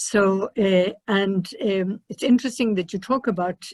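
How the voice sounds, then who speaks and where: In a dry, close sound with no echo, a woman with an Irish accent speaks at a medium pitch and a fairly slow pace. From Ireland. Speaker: missionary nun. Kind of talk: panel discussion. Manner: halting.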